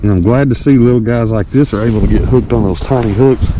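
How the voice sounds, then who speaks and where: Over noticeable background noise, a man with a Southern US accent talks at a very fast pace and a medium pitch. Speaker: fishing vlogger. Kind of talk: casual outdoor vlog narration. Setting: outdoors at a pond. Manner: casual, animated.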